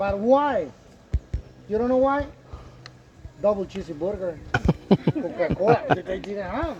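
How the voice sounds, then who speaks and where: A man talks in an animated tone against noticeable background noise. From Yucatán, Mexico (Mayan community). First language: Mayan (Yucatec). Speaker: tour guide. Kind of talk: guided tour talk.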